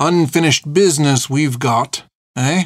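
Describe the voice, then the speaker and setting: A man's put-on character voice, fairly high in pitch, at a moderate pace, with a dry, close sound and no echo. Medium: read story. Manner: cruel, leering.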